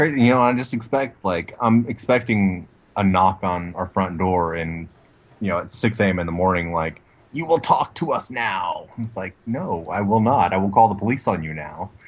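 Using a plain, everyday voice, a man with an American accent speaks at a moderate pace and fairly low pitch with lively intonation. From Texas. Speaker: former Navy nuclear electrician, podcast co-host. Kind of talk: casual banter, comedic podcast chat.

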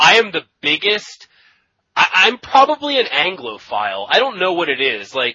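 A man talks in a high voice at a moderate pace. His pitch swings very widely. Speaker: podcaster and Magic: The Gathering personality. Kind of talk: casual interview chat.

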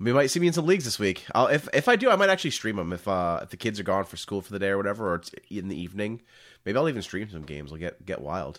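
Very fast and with big swings in loudness, a man's fairly low voice makes very wide pitch swings on a very clean recording with a silent background. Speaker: podcast host discussing card games. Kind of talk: casual chat.

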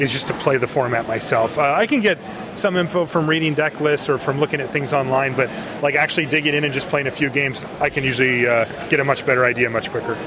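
Talking at a very fast pace, a man uses a fairly high pitch and fairly even intonation. Noticeable background noise runs underneath. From US West Coast. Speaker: card game judge. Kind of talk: casual interview.

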